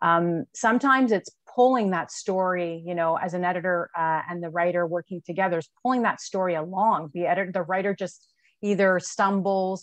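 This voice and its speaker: A woman's voice, dry and echo-free, over a quiet background. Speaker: podcast guest. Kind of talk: interview answer. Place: office. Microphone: earbuds.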